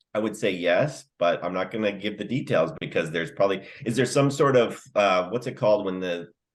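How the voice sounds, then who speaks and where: At a fairly quick pace, a man talks in a normal speaking voice, fairly low in pitch, with lively intonation. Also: hardly any pauses. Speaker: podcast co-host. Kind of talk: casual comedic chat.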